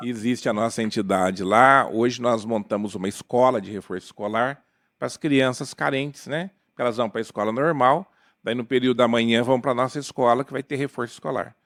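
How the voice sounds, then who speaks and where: Heard in a very clean recording with a silent background, a man with a plain, everyday voice speaks at a fairly quick pace, medium pitch and ordinary pitch variation. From Paraná, Brazil (Jacarezinho). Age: 60s. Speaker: spiritist lawyer. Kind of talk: podcast interview.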